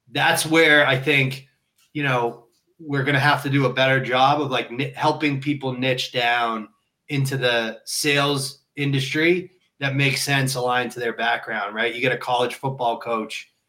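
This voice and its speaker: Here a man has a plain, everyday voice at a medium pitch. He talks at a moderate pace with fairly even intonation. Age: 30s. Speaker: sales leader. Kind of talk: casual chat.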